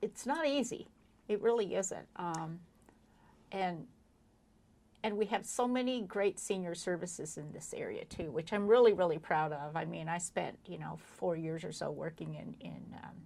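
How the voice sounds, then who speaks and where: A woman with a fairly low, dark and mellow voice speaks at a moderate pace, using lively intonation, vocal fry, and big swings in loudness. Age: 60s. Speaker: chamber of commerce interviewer. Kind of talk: interview. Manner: halting.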